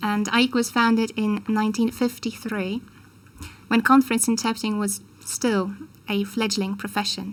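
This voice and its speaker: A woman with a Polish accent speaks in a fairly high pitch and sounds somewhat breathy. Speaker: conference interpreter, professional association head. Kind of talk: formal speech. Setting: ceremony with audience. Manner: formal.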